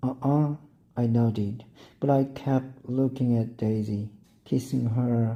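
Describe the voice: The speaker reads aloud. The delivery is plain.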